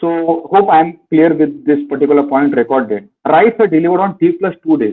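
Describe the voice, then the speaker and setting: Lively intonation and a fairly quick pace shape this man's plain, everyday voice. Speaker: finance educator. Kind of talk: webinar lecture. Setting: online webinar.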